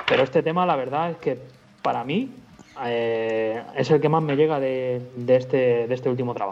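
A man speaks at a moderate pace in a plain, everyday voice. His pitch is medium, with ordinary variation. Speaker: rock musician. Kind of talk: interview.

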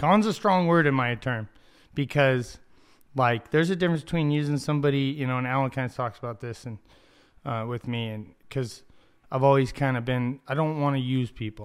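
In an American accent, a man with an unremarkable speaking voice talks at a fairly quick pace, his medium pitch moving with ordinary variation. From Ocotillo, US Southwest. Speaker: podcast co-host. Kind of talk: casual chat. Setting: studio.

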